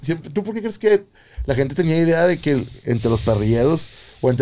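A man's dark, mellow tone with lively intonation. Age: 30s. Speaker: podcast host. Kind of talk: casual chat. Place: studio. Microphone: studio mic.

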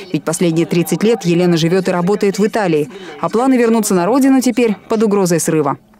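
Music plays in the background as a woman at medium pitch talks very fast with lively intonation and very even loudness. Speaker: TV news reporter. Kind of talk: TV news report narration.

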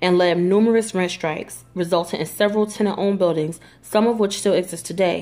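A woman talks at a fairly quick pace with a slightly mellow tone. Her pitch is fairly low and her intonation fairly even.

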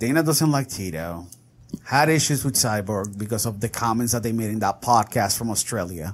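With a plain, everyday voice, a man speaks at a moderate pace. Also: medium pitch for a man, ordinary pitch variation. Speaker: podcast host. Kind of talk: casual chat.

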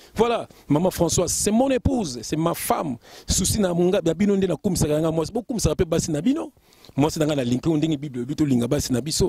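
Against a quiet background with a dry sound and no echo, a man talks at a fairly quick pace in a fairly high pitch, with a dark, mellow tone and lively intonation. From France, Lille, Congolese family; France. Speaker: preacher. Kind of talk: sermon. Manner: animated. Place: garden. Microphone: handheld.

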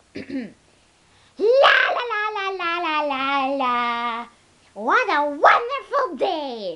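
Someone uses a put-on character voice at an extremely high pitch with very wide pitch swings, speaking very slowly with long, frequent pauses. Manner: upbeat.

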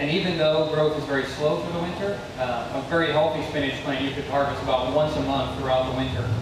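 A man talks at a fairly quick pace with fairly even intonation. Strong room echo and noticeable background noise fill the recording. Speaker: presenter. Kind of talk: lecture. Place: garden.

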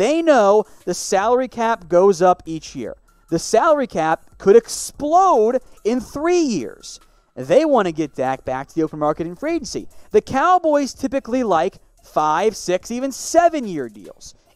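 A man speaks at a fairly slow pace with very wide pitch swings. The sound is dry with no echo, over a quiet background. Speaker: sports show host. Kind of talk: commentary. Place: studio.

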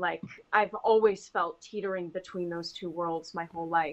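Using a plain, everyday voice, a woman with an American accent and fairly low pitch speaks at a moderate pace with fairly even intonation. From US South, Huntington, West Virginia; West Virginia. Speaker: actor. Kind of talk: casual chat. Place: home room. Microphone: video call.

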